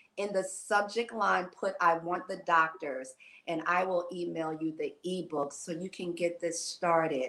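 In an American accent, an ordinary speaking voice moves at a fairly slow pace with fairly even intonation. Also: woman, fairly low pitch for a woman. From New York. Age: 60s. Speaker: fitness and wellness coach. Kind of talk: casual chat.

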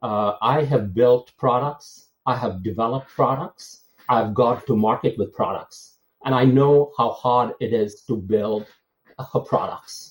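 Speaking at a fairly slow pace, a man uses a medium pitch with ordinary pitch variation and a somewhat breathy quality. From India, Bangalore. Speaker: tech executive. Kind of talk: interview.

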